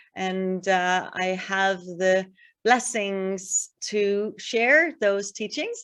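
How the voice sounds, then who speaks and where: Over a quiet background, a woman with a Danish accent speaks with fairly even intonation. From Denmark. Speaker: spiritual healer and yoga teacher. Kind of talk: online workshop talk.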